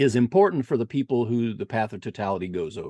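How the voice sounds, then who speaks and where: Against a quiet background, a man talks at a moderate pace and medium pitch. The sound is dry and close, with no echo. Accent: Indiana. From Indiana. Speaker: eclipse chaser and website owner. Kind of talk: presentation. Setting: video call. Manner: halting.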